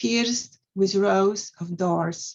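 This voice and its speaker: A woman with a Polish accent speaks at a very slow pace, somewhat breathy, with ordinary pitch variation. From Poland, Mazovia. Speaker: poet and scientist. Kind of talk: poetry reading.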